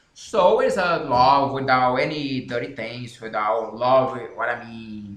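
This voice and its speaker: A man with a Brazilian Portuguese accent, audible room echo and noticeable background noise. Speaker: author and language learning channel host. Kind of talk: casual explanation to camera. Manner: halting.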